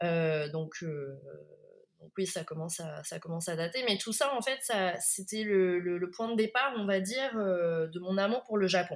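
A woman speaks at a fairly slow pace in a medium pitch with ordinary variation, leaving long, frequent pauses as her loudness swings a lot. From France, Bordeaux. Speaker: sommelier. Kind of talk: interview. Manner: hesitant, many fillers.

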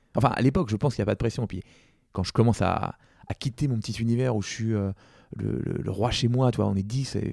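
A man speaks very fast at a fairly low pitch. The sound is dry and close with no echo. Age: 40s. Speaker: entrepreneur. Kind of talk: interview. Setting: office. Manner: hesitant.

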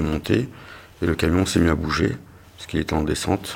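With noticeable background noise, a man speaks very fast in a very deep, low pitch with ordinary pitch variation. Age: 40s. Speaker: injured delivery driver retraining as driving instructor. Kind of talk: personal testimony.

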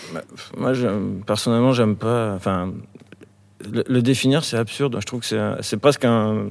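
The man speaks at a medium pitch and a moderate pace, with ordinary pitch variation. He leaves long, frequent pauses. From rural France near Bordeaux. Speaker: rock musician. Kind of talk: casual chat. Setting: on stage of an opera house. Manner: casual.

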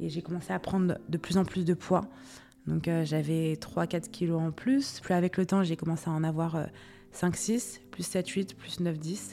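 A woman speaks fairly slowly with normal rises and falls in pitch. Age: 20s. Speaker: mental health testimony guest. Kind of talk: personal testimony. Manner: halting.

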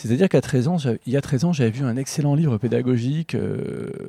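A man's medium-pitched, somewhat breathy voice with a dark, mellow tone, ordinary pitch variation and a moderate pace. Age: 40s. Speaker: book publisher. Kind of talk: interview conversation. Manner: hesitant with fillers.

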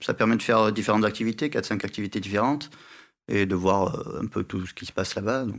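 Over a very clean recording with a silent background, a man talks at a fairly quick pace in a fairly low pitch with ordinary pitch variation. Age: 30s. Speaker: polar guide. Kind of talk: interview. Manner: hesitant, with filler sounds.

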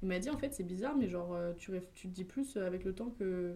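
A dark, mellow tone comes with a somewhat breathy quality in this voice. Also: woman. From France, Essonne (Paris region). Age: 20s. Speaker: social media content creator. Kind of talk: casual chat. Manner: fast, filler-heavy.

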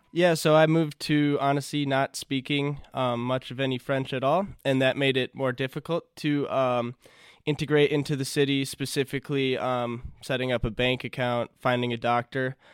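With an American accent, a man delivers medium-pitched speech in a monotone, flat intonation at a moderate pace. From US Midwest, Minnesota. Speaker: exchange student. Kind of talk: casual interview.

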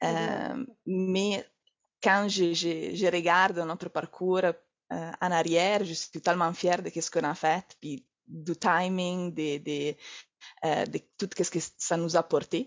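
In an Italian accent, a woman speaks at a very slow pace. Her pitch is fairly low, with fairly even intonation. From Italy. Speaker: entrepreneur, naturopath. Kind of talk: interview. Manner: halting, repeats words.

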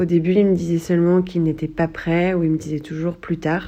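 A woman talks at a moderate pace with a fairly low pitch. Her intonation is flat and monotone. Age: 30s. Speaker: listener sending a voice note. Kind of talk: recorded voice message.

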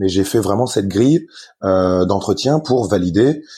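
Over a quiet background, this voice has a dark, mellow tone and moves at a moderate pace. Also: man. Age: 30s. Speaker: company founder. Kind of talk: interview. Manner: halting, many repetitions.

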